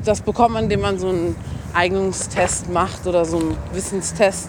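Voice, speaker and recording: Noticeable background noise is heard while a woman talks. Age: 20s. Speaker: medical student. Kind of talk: casual interview. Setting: outdoors.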